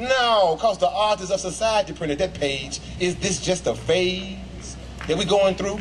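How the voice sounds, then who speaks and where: Noticeable background noise sits behind speech that moves at a moderate pace with ordinary pitch variation. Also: man. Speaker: spoken word poet. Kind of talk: spoken word poetry performance. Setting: outdoors.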